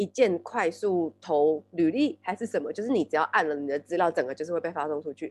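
In an ordinary speaking voice, a woman talks at a fairly low pitch and fairly quick pace with lively intonation, hardly any pauses, and a dry, close sound with no echo. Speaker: podcast co-host. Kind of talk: casual chat.

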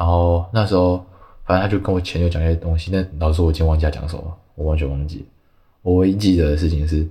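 A man talks at a very fast pace in a very deep, low voice. It is somewhat breathy, with fairly even intonation. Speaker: artist, podcast guest. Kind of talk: casual interview chat.

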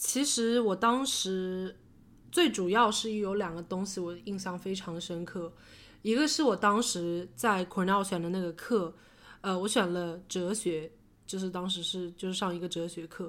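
Recorded very cleanly against a silent background, a woman with an unremarkable speaking voice talks at a medium pitch and a fairly slow pace. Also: ordinary pitch variation. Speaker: podcast co-host. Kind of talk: casual chat.

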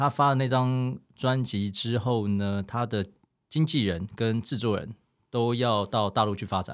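A man talks in a medium pitch with ordinary pitch variation, captured on a very clean recording with a silent background. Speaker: former artist manager, now insurance agent. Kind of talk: casual chat.

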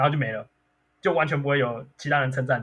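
With a fairly high-pitched voice, a man speaks at a very fast pace. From Taiwan, Miaoli. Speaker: lawyer. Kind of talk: casual interview chat.

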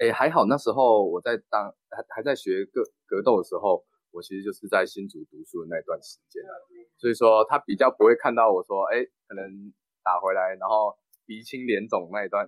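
Recorded dry and close with no echo, a man talks at a fairly quick pace, his loudness swinging widely. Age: 20s. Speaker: local council candidate. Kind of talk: interview.

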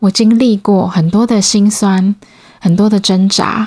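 Very slow, somewhat breathy speech from a woman, medium in pitch with fairly even intonation, dry and close with no echo. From Taiwan, Changhua. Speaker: podcast host. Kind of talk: solo podcast monologue.

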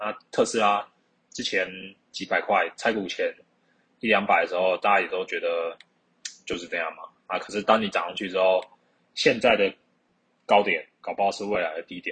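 With a Taiwanese accent, a man talks at a moderate pace, his loudness swinging widely between long, frequent pauses. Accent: Taiwanese Mandarin. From Taiwan, Keelung. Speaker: podcast host. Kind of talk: casual solo monologue. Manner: halting.

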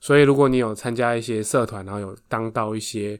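This is a very clean recording with a silent background. Intonation remains fairly even throughout. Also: man. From Taiwan, Taoyuan. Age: 30s. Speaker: podcast co-host, runs family factory. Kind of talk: casual chat.

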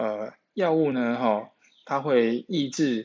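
Spoken at a very slow pace in a Taiwanese accent, the voice shows ordinary pitch variation. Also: man. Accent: Taiwanese Mandarin. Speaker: nutrition podcast host. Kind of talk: solo podcast talk on nutrition. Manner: heavy filler particles; repetitive, hesitant.

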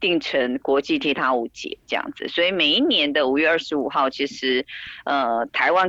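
A woman at a moderate pace. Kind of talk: interview. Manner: hesitant, many fillers.

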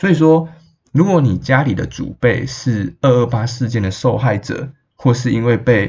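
His voice carries vocal fry, and the man's pitch moves in an ordinary way. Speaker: podcast host and astrology reader. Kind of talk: casual solo podcast talk.

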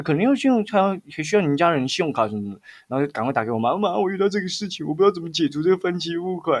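A man speaks very fast with a Taiwanese accent. His pitch is high, with very wide swings. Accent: Taiwanese Mandarin. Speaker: podcast co-host. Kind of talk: casual chat.

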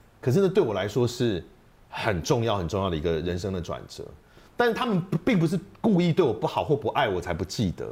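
With long, frequent pauses and very wide pitch swings, a man talks at a medium pitch in a somewhat breathy voice. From Taiwan, second-generation mainlander family. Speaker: voice actor and debate association head. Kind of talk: casual interview chat.

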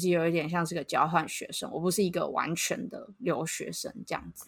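A woman with a normal speaking voice at a moderate pace. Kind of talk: casual chat.

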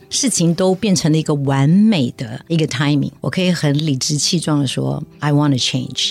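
A woman talks at a moderate speed. Background music accompanies her voice. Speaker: charity chairwoman, former tech executive. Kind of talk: interview.

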